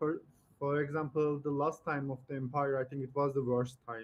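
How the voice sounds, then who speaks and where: At a moderate pace, a man talks in a fairly high pitch with monotone, flat intonation. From Turkey. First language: Turkish. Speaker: online video chat streamer. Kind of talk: casual chat. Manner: halting.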